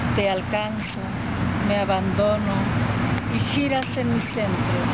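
Over loud background noise, a woman speaks at a very slow pace, the sound dry with no echo. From Oaxaca, Mexico. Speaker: poet. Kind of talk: poetry reading. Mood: intimate, expressive. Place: forest. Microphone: phone near.

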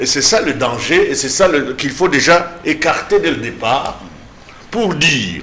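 A man's high-pitched voice with lively intonation, at a very slow pace. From DR Congo. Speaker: political commentator. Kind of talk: political panel discussion. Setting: TV studio. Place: studio. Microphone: lapel.

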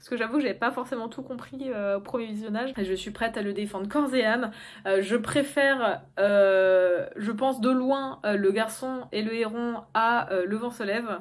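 A woman's fairly high-pitched voice at a fairly slow pace, with ordinary pitch variation, big swings in loudness and a quiet background. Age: 20s. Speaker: YouTuber. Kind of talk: casual monologue to camera. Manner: hesitant, many fillers. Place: home room. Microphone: phone near.

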